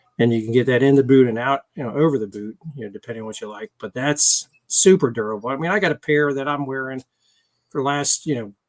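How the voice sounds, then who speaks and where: The voice is an ordinary speaking voice with an American accent and ordinary pitch variation. It moves at a fairly quick pace with a dry, close sound and no echo. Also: man. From Washington DC area. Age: 60s. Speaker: motorcycle gear sales rep. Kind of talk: interview.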